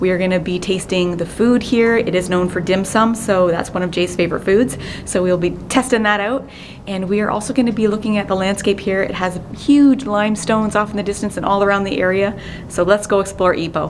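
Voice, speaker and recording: Over light background noise, a woman speaks at a fairly quick pace with fairly even intonation. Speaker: travel vlogger. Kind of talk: casual vlog chat. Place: tunnel cave. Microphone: phone near.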